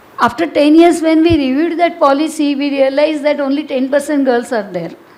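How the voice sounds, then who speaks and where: A woman's high-pitched voice at a moderate pace, amid noticeable background noise and audible room echo. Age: 70s. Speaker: social activist. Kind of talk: panel discussion. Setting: auditorium with audience. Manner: halting.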